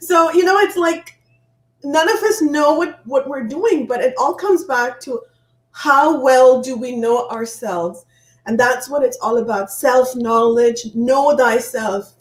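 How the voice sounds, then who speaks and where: A woman speaks with a high pitch and lively intonation. Her pace is fairly slow. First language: not English, not French. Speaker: author and inspirational speaker. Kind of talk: interview.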